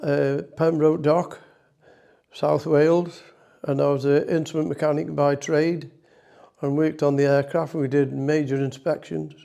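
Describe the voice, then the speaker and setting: A man's fairly high voice with a dark, mellow tone and a Potteries accent, flat and monotone, at a fairly slow pace. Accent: Potteries (North Staffordshire) English. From Staffordshire, Stoke-on-Trent. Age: 90s. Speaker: war veteran. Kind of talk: interview reminiscence.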